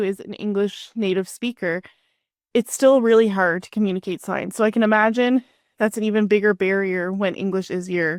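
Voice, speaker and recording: A woman with a Canadian accent and a normal speaking voice, fairly high in pitch, at a moderate pace with ordinary pitch variation, dry and close with no echo, on a very clean recording with a silent background. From Canada. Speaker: podcast host. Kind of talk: podcast interview.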